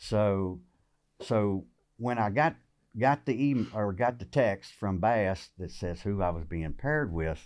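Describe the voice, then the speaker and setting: A fairly low-pitched man with a Southern US accent at a fairly slow pace, against a quiet background. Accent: Southern American. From Virginia, USA. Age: 50s. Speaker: tournament bass angler; podcast guest. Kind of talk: interview answer. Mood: relaxed, friendly. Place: shop. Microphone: studio mic.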